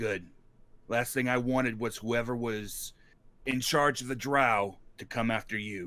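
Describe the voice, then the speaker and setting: Using a put-on character voice, a man speaks in a raspy, medium-pitched tone at a moderate pace. He leaves long pauses, and they come often. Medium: actual play. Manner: calm, confident.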